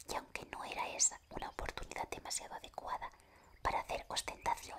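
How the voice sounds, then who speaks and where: Someone whispers at a moderate pace. There is noticeable background noise. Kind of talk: whispered audiobook reading. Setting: studio, close microphone ASMR. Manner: whispered, soft.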